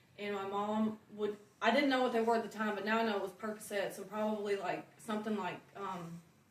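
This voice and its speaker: A woman with an American accent speaks at a fairly quick pace with hardly any pauses, her fairly high voice flat and monotone, amid audible room echo and noticeable background noise. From Oklahoma and Alabama, US South. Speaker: recovering addict sharing testimony. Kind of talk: testimony. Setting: church testimony night with audience. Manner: halting, many fillers.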